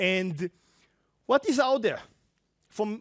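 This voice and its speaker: Moderate pace and ordinary pitch variation, with a dry, close sound with no echo on a very clean recording over a silent background. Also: man. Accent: Israeli. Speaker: tech industry presenter. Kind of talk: conference talk. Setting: stage with audience.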